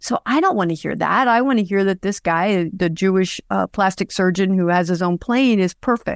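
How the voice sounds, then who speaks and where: Here a woman with a normal speaking voice talks at a medium pitch and a moderate pace, with ordinary pitch variation. The very clean recording has a silent background and a dry, close sound with no echo. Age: 60s. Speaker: podcast creator and crime story storyteller. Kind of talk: casual interview about her own story.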